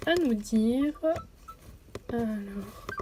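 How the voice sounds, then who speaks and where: A woman's fairly high-pitched voice with lively intonation over noticeable background noise. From Belgium. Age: 20s. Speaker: gaming YouTuber. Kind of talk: let's play commentary. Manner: hesitant, many fillers.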